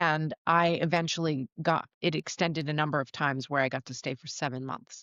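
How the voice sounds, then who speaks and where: A woman's very deep, low voice with an American accent, fairly quick and fairly even in intonation, with a dry, close sound with no echo over a quiet background. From New Jersey. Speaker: voice-over artist and actress, quadriplegic. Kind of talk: interview.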